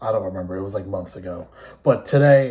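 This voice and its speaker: Somewhat breathy man's voice with an American accent. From New York City area. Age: 20s. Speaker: esports player and content creator. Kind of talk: casual vlog monologue. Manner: casual, unscripted with pauses.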